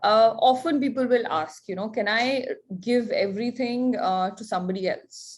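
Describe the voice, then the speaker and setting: Here is a woman with an unremarkable speaking voice, pitched fairly high. She talks at a moderate pace with lively intonation. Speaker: lawyer. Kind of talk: online workshop presentation.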